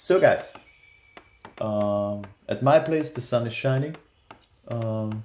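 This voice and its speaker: Spoken at a fairly slow pace with a non-native accent, the clip carries noticeable background noise. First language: not English. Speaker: gaming YouTuber. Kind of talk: tutorial. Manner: hesitant, many fillers.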